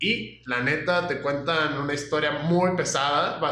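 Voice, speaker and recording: Over noticeable background noise and audible room echo, a man talks at a fairly high pitch. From Mexico, Aguascalientes. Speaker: podcast co-host. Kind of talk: casual chat.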